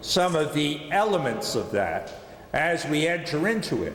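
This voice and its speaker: A man with an American accent speaks at a fairly slow pace in a high voice, his pitch varying in an ordinary way, with audible room echo and noticeable background noise. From US Northeast, Philadelphia. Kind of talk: lecture.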